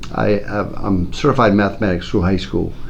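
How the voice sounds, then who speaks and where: A man talks at a moderate pace with ordinary pitch variation, with audible room echo and noticeable background noise. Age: 60s. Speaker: school principal. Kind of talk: interview.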